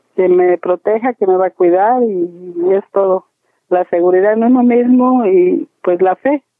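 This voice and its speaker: In an unremarkable speaking voice, a woman talks at a fairly slow pace and medium pitch, with ordinary pitch variation and very even loudness. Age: 60s. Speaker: plant nursery owner. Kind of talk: interview.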